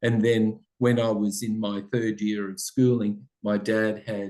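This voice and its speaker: A man with an Australian accent speaks at a fairly slow pace in a fairly low pitch. His tone is dark and mellow, and his intonation is monotone and flat. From Australia, Italian-speaking family. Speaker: school principal. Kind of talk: interview.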